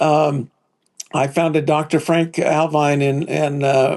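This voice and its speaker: Monotone, flat intonation at a very slow pace. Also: man. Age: 70s. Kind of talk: testimony. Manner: halting, many fillers and restarts.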